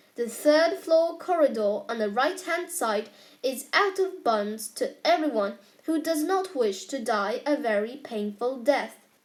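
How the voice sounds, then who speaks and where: A woman puts on a character voice, high-pitched and at a fairly slow pace. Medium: read story. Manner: genial, twinkling.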